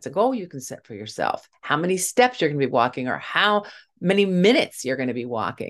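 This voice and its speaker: A woman speaks in a normal speaking voice at a fairly low pitch against a quiet background. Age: 60s. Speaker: grief podcast host and speaker. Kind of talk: solo motivational talk.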